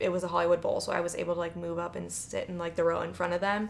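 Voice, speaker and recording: Talking at a very fast pace, a woman speaks with a slight Chicago accent. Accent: Chicago accent, slight to moderate. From Chicago, US Midwest. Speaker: podcast co-host.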